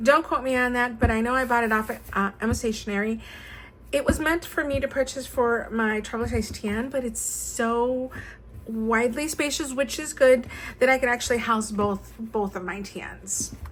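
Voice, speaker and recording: A woman with a plain, everyday voice, fairly high pitch, ordinary pitch variation and a moderate pace. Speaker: stationery YouTuber. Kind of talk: show-and-tell tutorial. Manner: casual with many fillers.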